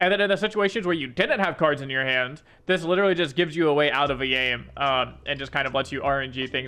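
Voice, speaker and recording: Very fast speech from a man comes with ordinary pitch variation. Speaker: gaming content creator and coach. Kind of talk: patch notes review commentary. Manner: casual with filler words.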